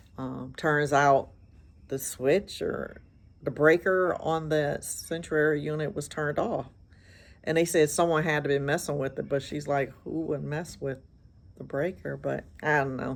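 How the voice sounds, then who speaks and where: Fairly slow speech with vocal fry and fairly even intonation. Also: woman, very deep, low pitch for a woman. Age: 60s. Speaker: hairstylist vlogger. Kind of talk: casual vlog monologue. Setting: outdoors on a porch.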